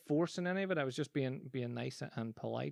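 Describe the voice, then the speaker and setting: A man with a Northern Irish accent talks at a fairly quick pace against a quiet background. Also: dry, close sound with no echo. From Northern Ireland. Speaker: podcast host, business coach and magician. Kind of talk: casual solo podcast monologue. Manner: conversational with frequent false starts.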